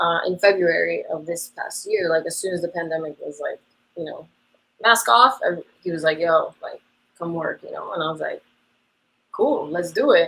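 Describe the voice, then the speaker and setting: Moving at a moderate pace, a woman's voice shows big swings in loudness. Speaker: dance teacher. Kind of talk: interview. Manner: casual, many fillers.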